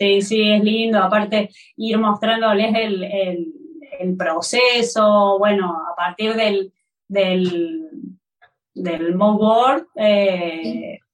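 This woman talks very slowly, with long, frequent pauses. Her pitch varies in an ordinary way, in a Córdoba accent. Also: medium pitch for a woman, big swings in loudness. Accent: Córdoba accent, noticeable. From Argentina, Córdoba. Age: 40s. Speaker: textile artisan. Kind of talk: interview.

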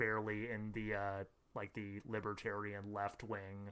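This man speaks with an American accent. His voice is fairly low in pitch, with a bright, sharp tone. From US Midwest, Madison, Wisconsin. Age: 20s. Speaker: podcast co-host. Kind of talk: casual chat.

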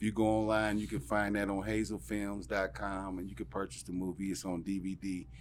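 With hardly any pauses, a man with a normal speaking voice and an American accent talks at a fairly quick pace, fairly low in pitch and lively in intonation. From Ohio, Dayton. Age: 40s. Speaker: comedian. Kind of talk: casual chat.

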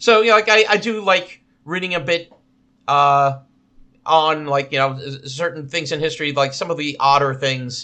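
With a New Jersey accent, a man talks at a moderate pace, his pitch fairly high with ordinary variation. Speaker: podcast co-host. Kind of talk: casual chat.

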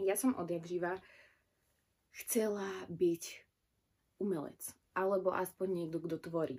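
This woman talks at a fairly slow pace with fairly even intonation, long and frequent pauses, and a dark, mellow tone. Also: medium pitch for a woman. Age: 20s. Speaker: podcaster. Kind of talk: personal monologue.

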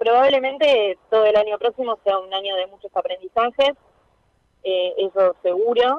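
At a moderate pace, a woman in a plain, everyday voice speaks with fairly high pitch, ordinary pitch variation and big swings in loudness. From Argentina, La Matanza (Greater Buenos Aires). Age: 20s. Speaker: politician. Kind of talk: interview.

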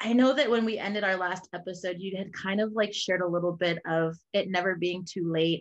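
A woman talks in a plain, everyday voice at medium pitch and a fairly quick pace, with fairly even intonation and hardly any pauses. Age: 30s. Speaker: podcast host. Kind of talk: casual interview. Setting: video call.

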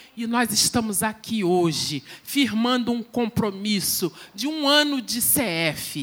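Over noticeable background noise, a woman talks at a very slow pace with a fairly high pitch and lively intonation. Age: 50s. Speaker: lay church preacher. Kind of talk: sermon. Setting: church service with congregation.

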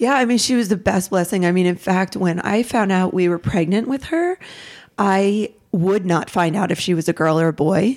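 A woman speaks at medium pitch and a moderate pace. Her loudness stays very even, with ordinary pitch variation. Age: 40s. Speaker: abuse survivor sharing her story. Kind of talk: personal testimony in casual conversation.

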